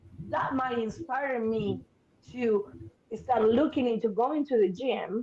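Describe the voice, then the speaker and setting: Speaking with an Argentine accent, a woman uses a high pitch with ordinary pitch variation. Her pace is fairly slow. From Argentina, Buenos Aires. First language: Spanish. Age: 50s. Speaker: therapist. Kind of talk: podcast interview.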